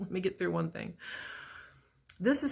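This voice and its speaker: On a very clean recording with a silent background, a woman with a medium pitch speaks with vocal fry. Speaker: vlogger. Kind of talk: personal video diary. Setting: work break room.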